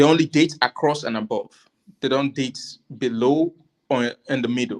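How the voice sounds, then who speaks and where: At a moderate pace, a man speaks with a fairly high pitch and ordinary pitch variation, the sound dry and close with no echo. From Africa. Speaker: panel guest. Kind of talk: casual discussion. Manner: halting.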